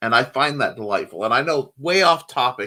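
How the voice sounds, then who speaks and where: A man's fairly high-pitched voice with a Midwestern US accent, very wide swings in pitch, and a bright, sharp tone on a very clean recording over a silent background. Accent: General American, Midwest. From US Midwest, Indiana. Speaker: show host, writer and artist. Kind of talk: casual chat.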